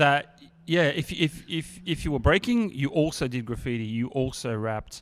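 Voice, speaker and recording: A man with an Australian accent speaks on a very clean recording with a silent background. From Sydney, Australia (Bankstown/Sefton). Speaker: hip hop artist. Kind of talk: casual chat.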